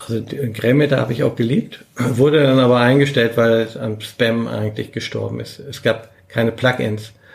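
A man talks at a medium pitch and a moderate pace with fairly even intonation. Background noise is noticeable. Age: 60s. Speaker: search engine optimization veteran. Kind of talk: casual interview.

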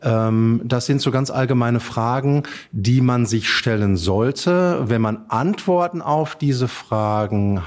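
With lively intonation, a man talks very slowly at a medium pitch. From Germany, Dortmund (Ruhr area). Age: 40s. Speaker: estate executor and bank advisor. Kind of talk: interview.

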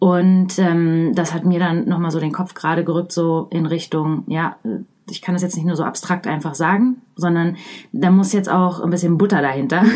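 Speaking at a moderate pace, a woman uses an ordinary speaking voice, fairly low in pitch with fairly even intonation. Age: 30s. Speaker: leadership trainer and coach. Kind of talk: interview.

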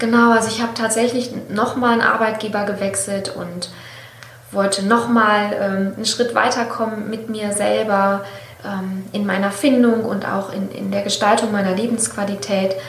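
Noticeable background noise and audible room echo accompany a woman who speaks in a monotone, flat intonation at a moderate pace. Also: medium pitch for a woman. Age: 40s. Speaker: author and copywriter, former marketing professional. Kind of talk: interview testimony.

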